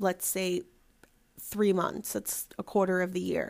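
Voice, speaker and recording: At a fairly slow pace, a woman speaks in a normal speaking voice with medium pitch. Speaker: podcast host. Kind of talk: solo podcast monologue.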